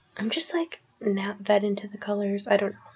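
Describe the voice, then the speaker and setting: Soft-spoken, a woman talks at a fairly quick pace. Her pitch is fairly high. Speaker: crafting video creator. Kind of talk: casual tutorial voiceover. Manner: soft-spoken, quiet; hesitant, many fillers.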